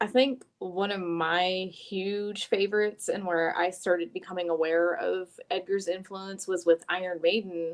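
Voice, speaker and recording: With a Southern US accent, a woman talks at a moderate pace in a medium pitch, with hardly any pauses. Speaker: guest co-host, hair stylist podcaster. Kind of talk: casual chat. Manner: animated.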